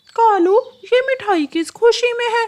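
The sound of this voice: This is a cartoonish character voice. It is squeaky and extremely high.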